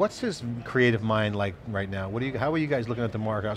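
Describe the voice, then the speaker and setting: Noticeable noise fills the background. Over it, a man's intonation stays fairly even. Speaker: tech interview show host. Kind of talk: interview questions. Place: hall. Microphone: headset.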